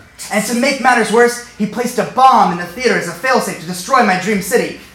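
A man with an American accent talks at a very fast pace and extremely high pitch with lively intonation, amid audible room echo and noticeable background noise. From US, Northern Virginia. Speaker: storyteller. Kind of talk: comedic storytelling. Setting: stage with audience.

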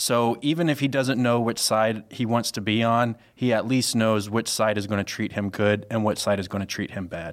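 A man speaks in a normal speaking voice at a moderate pace and medium pitch. His intonation is fairly even, and the recording is very clean with a silent background. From US South (Mississippi/Louisiana). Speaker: communications staffer, podcast guest. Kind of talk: casual chat.

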